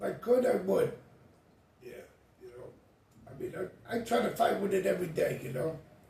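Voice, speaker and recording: A man with an American accent at a fairly quick pace, with big swings in loudness, long, frequent pauses, noticeable background noise and audible room echo. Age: 60s. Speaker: homeless man. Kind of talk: interview.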